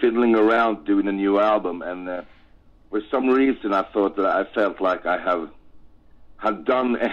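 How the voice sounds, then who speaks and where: A man speaks with a Swedish accent at a fairly low pitch. There are long, frequent pauses and ordinary pitch variation. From Sweden. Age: 50s. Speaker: rock singer. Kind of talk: interview. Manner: halting.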